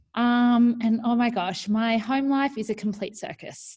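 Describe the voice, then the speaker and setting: A woman speaks at a fairly slow pace with an Australian accent. Her voice is somewhat breathy and fairly high-pitched. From New South Wales far north coast, Australia. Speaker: primary school teacher and online community founder. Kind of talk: casual interview. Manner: animated.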